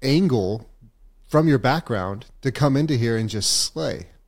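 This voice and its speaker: On a very clean recording with a silent background, a man in a normal speaking voice talks at a fairly slow pace with lively intonation and a medium pitch. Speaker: podcast host. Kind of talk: casual interview chat.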